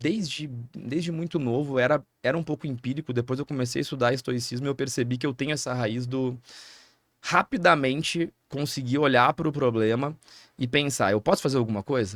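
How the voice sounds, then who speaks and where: A man talks at a fairly quick pace in a medium pitch with ordinary pitch variation. The sound is dry and close with no echo, on a very clean recording with a silent background. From Rio Grande do Sul, Brazil (interior). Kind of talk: podcast interview. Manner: fast.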